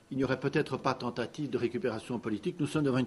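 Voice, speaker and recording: The voice belongs to a man. His pitch is medium and varies in an ordinary way. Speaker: lawyer. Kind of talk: press conference statement. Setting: press conference. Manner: loud, carrying voice.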